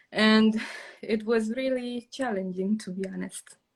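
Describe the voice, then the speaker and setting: Somewhat breathy, a woman with a Romanian accent talks at a fairly slow pace in a monotone, flat intonation. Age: 20s. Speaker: journaling content creator. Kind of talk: casual chat. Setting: live stream video call. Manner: halting, many fillers.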